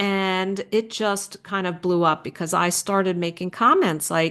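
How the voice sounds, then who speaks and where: A plain, everyday voice from a woman, fairly low in pitch, at a moderate pace with fairly even intonation and a quiet background. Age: 60s. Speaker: optometric physician. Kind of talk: interview conversation.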